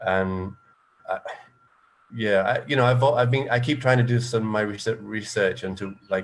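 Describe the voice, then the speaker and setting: This man speaks with an English accent at a medium pitch. His pitch varies in an ordinary way, with long, frequent pauses. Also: moderate pace. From England. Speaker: panelist on environmental issues. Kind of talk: panel discussion. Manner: halting, many false starts.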